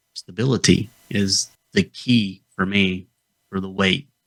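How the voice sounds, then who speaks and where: In a Southern Appalachian accent, a man with a bright, sharp tone talks at a fairly low pitch and a fairly slow pace. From US South, North Georgia Appalachians. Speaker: health podcast co-host. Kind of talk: casual chat.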